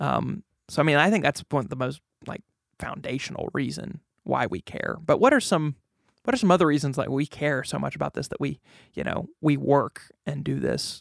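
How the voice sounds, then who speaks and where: The voice has an animated tone and a moderate pace. The sound is dry and close with no echo, on a very clean recording with a silent background. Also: man. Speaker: pastor, podcast host. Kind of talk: casual chat. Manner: animated, laughs often.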